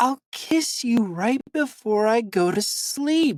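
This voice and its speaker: A female-sounding put-on character voice, high in pitch, at a very slow pace. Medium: read story.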